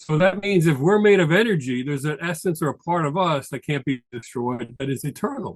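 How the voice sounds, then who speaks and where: A man speaks with lively intonation. He hardly pauses at all. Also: fairly high pitch for a man, fairly quick pace. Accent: New York. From New York. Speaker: tax advisor. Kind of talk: presentation. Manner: fast.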